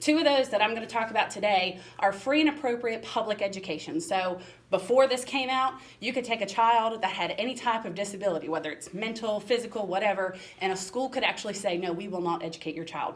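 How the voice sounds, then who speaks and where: Over noticeable background noise, a woman with an American accent and a fairly high pitch speaks at a very fast pace with lively intonation. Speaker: special education administrator. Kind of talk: presentation.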